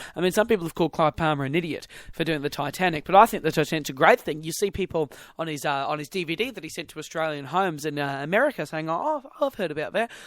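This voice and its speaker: A man with a New Zealand accent speaks at a very fast pace in a fairly high pitch with ordinary pitch variation, recorded with a dry, close sound and no echo. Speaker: podcast host. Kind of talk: casual chat.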